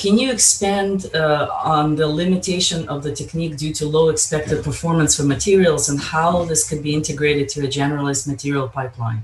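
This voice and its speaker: A fairly high male voice with hardly any pauses and ordinary pitch variation, over noticeable background noise. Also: fairly quick pace. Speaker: session chair moderating Q&A. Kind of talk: conference Q&A moderation.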